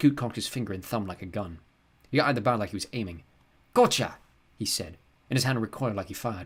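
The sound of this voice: The pitch moves in an ordinary way in an unforced reading voice.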